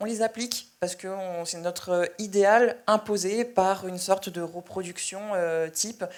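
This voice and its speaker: Fairly slow yet with hardly any pauses, the delivery keeps a fairly even intonation while the loudness swings widely. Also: woman, medium pitch for a woman. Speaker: journalist. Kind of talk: panel discussion. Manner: halting.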